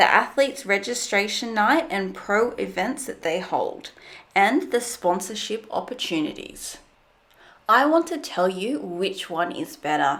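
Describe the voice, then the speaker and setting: Speaking at a fairly slow pace in an Australian accent, a woman with a fairly high pitch makes very wide pitch swings. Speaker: fitness commentary channel host. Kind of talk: video commentary.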